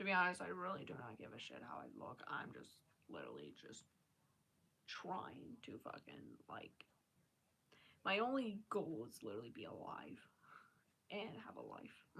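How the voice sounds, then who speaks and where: A woman whispering in an American accent at a moderate pace, with big swings in loudness and long, frequent pauses. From Maryland, US. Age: 20s. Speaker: live streamer. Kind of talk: casual live-stream chat.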